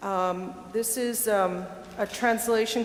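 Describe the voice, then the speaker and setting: A woman's fairly high pitch with ordinary pitch variation, over noticeable background noise. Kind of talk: scripture reading in church.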